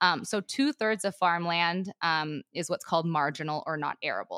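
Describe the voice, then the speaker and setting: A bright, sharp tone comes through with an American accent. The sound is dry and close with no echo, in a very clean recording with a silent background. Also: woman. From Montana, US. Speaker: rancher and agriculture advocate. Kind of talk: casual interview.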